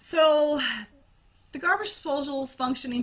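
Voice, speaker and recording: A woman talks at a moderate pace. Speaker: spiritual healer. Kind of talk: casual vlog monologue. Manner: hesitant, filler-heavy.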